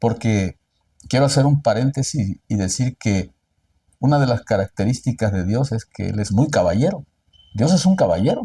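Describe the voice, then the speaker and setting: A man with a medium-pitched, dark, mellow tone speaks at a moderate pace with lively intonation and a somewhat breathy quality, in a dry, close sound with no echo. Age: 60s. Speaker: lawyer. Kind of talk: interview.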